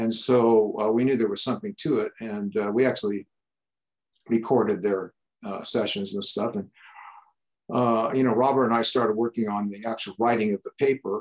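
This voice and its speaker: Speaking at a moderate pace, a man with an American accent uses monotone, flat intonation. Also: medium pitch for a man, quiet background. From San Francisco, California. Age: old. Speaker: retired engineer and UAP researcher; guest. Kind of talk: casual discussion over video call. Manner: halting. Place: home room. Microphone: video call.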